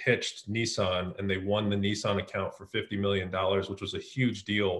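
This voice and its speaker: Somewhat breathy and with an American accent, the voice moves at a fairly quick pace in a monotone, flat intonation. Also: man. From US West Coast (San Francisco Bay Area). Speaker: marketing executive. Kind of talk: interview.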